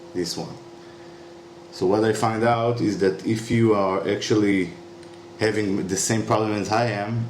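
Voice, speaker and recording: Speaking at a fairly slow pace with long, frequent pauses, a man with a fairly low pitch and fairly even intonation is heard with audible room echo. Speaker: YouTuber demonstrating a repair. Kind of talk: tutorial. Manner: halting, many fillers.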